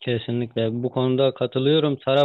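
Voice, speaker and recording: This man's voice is pitched fairly high, and he talks at a fairly slow pace. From eastern Turkey (Ağrı). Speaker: interviewer. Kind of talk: interview. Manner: halting with many fillers.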